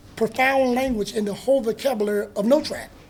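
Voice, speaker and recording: A man talks at a fairly quick pace with a North Carolina accent. His pitch is extremely high. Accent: US Southern (North Carolina). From North Carolina (Hertford County). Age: 60s. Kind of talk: casual talk to an audience.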